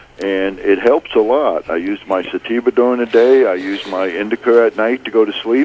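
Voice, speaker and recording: Recorded with a dry, close sound and no echo but noticeable background noise, a man speaks at a medium pitch and moderate pace, with ordinary pitch variation and hardly any pauses. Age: 60s. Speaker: caller. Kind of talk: radio call-in.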